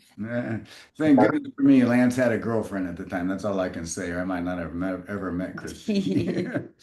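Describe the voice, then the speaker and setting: A man's fairly low voice, dark and mellow in tone, with lively intonation, a fairly quick pace, big swings in loudness and audible room echo. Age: 60s. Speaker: network marketing presenter. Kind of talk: business presentation.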